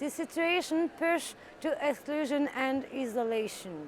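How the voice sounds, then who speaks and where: Very slowly and with lively intonation, a woman speaks with a French accent. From France. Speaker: politician. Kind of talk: recorded interview answers. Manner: halting.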